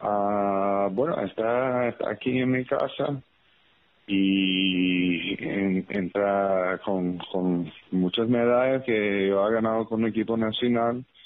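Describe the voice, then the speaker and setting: A man's fairly low voice at a very slow pace, with fairly even intonation and very even loudness. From New York, Puerto Rican family. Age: 40s. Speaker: former professional basketball player. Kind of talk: interview. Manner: halting, many fillers.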